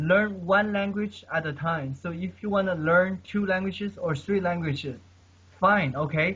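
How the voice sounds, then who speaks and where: Here a man speaks at a high pitch. His pace is fairly slow and his intonation fairly even. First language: not English. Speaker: polyglot, language learner. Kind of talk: casual chat. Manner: halting.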